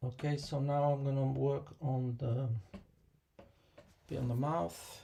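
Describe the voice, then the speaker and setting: At a very slow pace and very even loudness, a man with a medium pitch and a dark, mellow tone speaks somewhat breathily with fairly even intonation. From Kosovo. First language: Albanian. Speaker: watercolor artist and teacher. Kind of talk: live painting tutorial and Q&A. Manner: hesitant, many fillers; mumbling.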